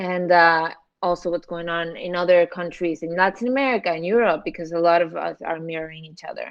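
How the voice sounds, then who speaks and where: A woman talks at a fairly quick pace in a fairly low pitch, with ordinary pitch variation and big swings in loudness. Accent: Spanish. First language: Spanish. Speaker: social media commentator. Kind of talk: casual chat.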